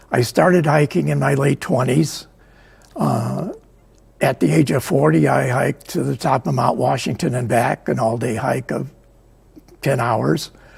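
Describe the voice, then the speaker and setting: A man's medium-pitched voice with an American accent, very wide pitch swings, a moderate pace, long and frequent pauses, and noticeable background noise. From US Midwest, Chicago area. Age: 80s+. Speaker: book author and photographer. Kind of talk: interview. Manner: hesitant, many fillers.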